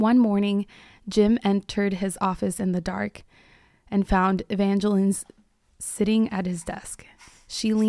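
The speaker uses an unforced reading voice. The reading sounds unforced throughout.

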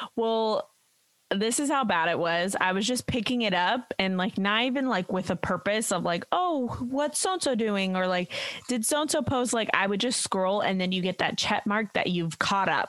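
A woman of medium pitch speaks with an animated tone and lively intonation. Her pace is moderate and her loudness very even. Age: 30s. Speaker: dog groomer and podcast co-host. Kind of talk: casual chat.

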